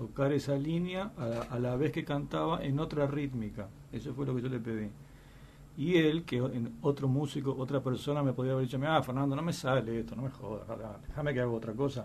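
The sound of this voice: Speaking at a fairly quick pace, a man has a slightly mellow tone and vocal fry. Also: medium pitch for a man, ordinary pitch variation.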